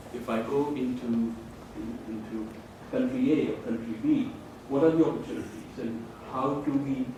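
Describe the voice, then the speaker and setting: Male voice with ordinary pitch variation, noticeable background noise and audible room echo. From India. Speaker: professor. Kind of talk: lecture.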